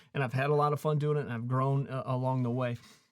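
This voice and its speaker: The recording is very clean, with a silent background. It holds a plain, everyday voice with fairly even intonation. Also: man. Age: 40s. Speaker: YouTube creator and coach. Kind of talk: casual talk to camera. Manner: motivational, conversational.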